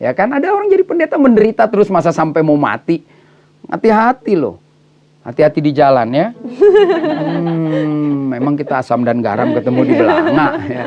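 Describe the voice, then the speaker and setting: Noticeable background noise accompanies a man speaking in an animated tone at a moderate pace. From Batak, North Sumatra (Indonesia). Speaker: pastor. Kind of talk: casual interview chat.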